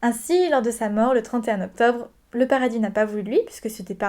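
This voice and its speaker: This woman speaks at a fairly high pitch and a fairly quick pace. The recording is very clean, with a silent background. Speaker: spirituality vlogger. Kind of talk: informative video talk. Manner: hesitant, many fillers.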